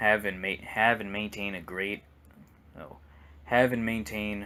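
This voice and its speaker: The voice is soft-spoken with a bright, sharp tone and ordinary pitch variation. It moves at a moderate pace with big swings in loudness. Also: man. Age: 20s. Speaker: gaming YouTuber. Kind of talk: casual rant monologue. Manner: halting, repetitive.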